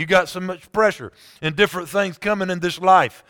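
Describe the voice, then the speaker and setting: A man's voice is raised and projected. Its tone is bright and sharp. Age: 40s. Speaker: pastor. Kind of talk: sermon.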